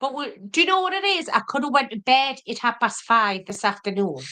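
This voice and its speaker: A woman raises and projects her high-pitched voice, its tone bright and sharp. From Wallsend, Newcastle. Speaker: cooking youtuber. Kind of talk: casual chat.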